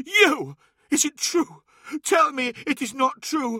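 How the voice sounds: A man does a put-on character voice at an extremely high pitch, slow and with big pitch swings, in a bright, sharp tone with a dry, close sound and no echo.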